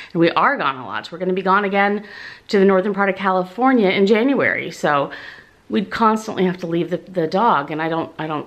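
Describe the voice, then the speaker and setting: Her intonation is lively. The woman speaks at a fairly quick pace. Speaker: vlogger. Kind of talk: casual vlog chat. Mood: cheerful, excited. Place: home room. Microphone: phone near.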